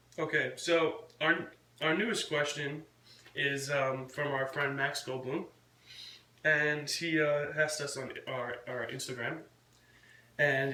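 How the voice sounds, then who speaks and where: Audible room echo and noticeable background noise surround a man speaking fairly high at a fairly slow pace with fairly even intonation. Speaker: vlogger and punk rock band member. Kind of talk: casual chat. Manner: quiet.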